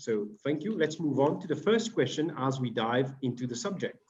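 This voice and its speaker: A fairly high-pitched man with a French accent and lively intonation. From Mauritius. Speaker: panel moderator. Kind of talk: moderating online panel. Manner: hesitant fillers.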